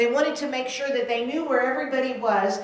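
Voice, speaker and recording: A woman speaks at a high pitch. Audible room echo and noticeable background noise surround her. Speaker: minister. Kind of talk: sermon. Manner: loud.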